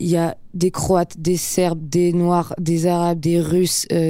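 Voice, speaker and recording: Dark and mellow in tone, a woman's fairly low voice is heard on a very clean recording with a silent background. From Geneva, Switzerland. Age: 20s. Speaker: actress. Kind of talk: interview.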